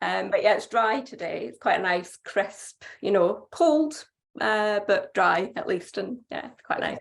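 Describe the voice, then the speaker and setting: A woman with a Scottish accent, at a fairly slow pace, with big swings in loudness. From Scotland. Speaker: doctor and cancer patient. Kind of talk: personal testimony. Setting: video call.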